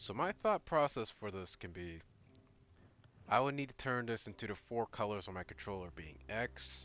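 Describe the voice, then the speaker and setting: With music in the background, a man speaks in an animated tone at a fairly low pitch, his voice making very wide pitch swings. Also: moderate pace, big swings in loudness. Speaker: gaming YouTuber. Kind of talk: game playthrough commentary. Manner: casual, animated; stuttering at times.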